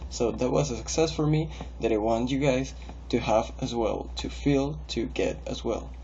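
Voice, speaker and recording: A man speaks with a Spanish accent at a fairly slow pace. Audible room echo surrounds his voice. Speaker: english learner. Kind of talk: recorded video monologue. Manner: hesitant with fillers and repetitions.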